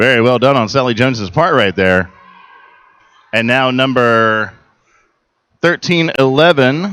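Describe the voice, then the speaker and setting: Medium pitch and ordinary pitch movement in a man's voice. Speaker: roller derby commentator. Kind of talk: live commentary. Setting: convention center arena. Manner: loud.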